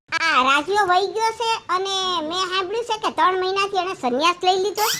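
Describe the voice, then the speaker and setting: A put-on, squeaky character voice from a woman, extremely high in pitch with ordinary pitch variation, at a fairly quick pace over light background noise. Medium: comedy sketch. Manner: loud, scolding.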